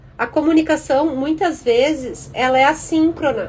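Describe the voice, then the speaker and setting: A woman's voice with fairly even intonation. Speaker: career and tech content creator. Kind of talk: live stream talk. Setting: Instagram live.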